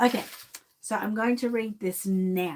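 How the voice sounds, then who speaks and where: With an Australian accent, a woman speaks at medium pitch and a moderate pace. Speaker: reborn doll collector and vlogger. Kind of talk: casual live chat.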